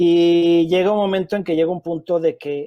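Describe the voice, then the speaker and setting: This man's voice is high-pitched with a dark, mellow tone. He speaks at a moderate pace with monotone, flat intonation. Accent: Mexican. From Mexico. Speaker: film director. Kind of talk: interview.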